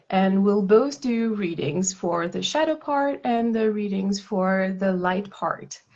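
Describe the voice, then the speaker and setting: A woman speaks at a very slow pace. Her voice sits at a medium pitch, in a French accent. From France. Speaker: tarot reader. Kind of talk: casual chat. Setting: live stream.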